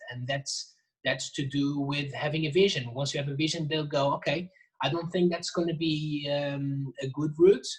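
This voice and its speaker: At a moderate pace, a man with a non-native accent speaks in a fairly high, somewhat breathy voice with fairly even intonation. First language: not English. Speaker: jazz drummer and percussionist. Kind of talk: casual interview. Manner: halting, many restarts.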